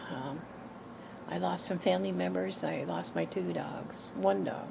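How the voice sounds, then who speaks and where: Amid audible room echo, a woman speaks fairly slowly in a very deep, low pitch with ordinary pitch variation. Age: 60s. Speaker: vlogger sharing personal diet journey. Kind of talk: personal vlog testimony. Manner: halting, with fillers and repetitions.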